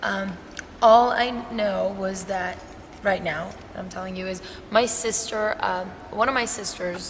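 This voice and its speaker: Speaking at a very slow pace, a woman with a medium pitch is heard over noticeable background noise and audible room echo. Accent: Persian. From Iran. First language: Persian. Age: 20s. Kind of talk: testimony interview. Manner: casual, conversational.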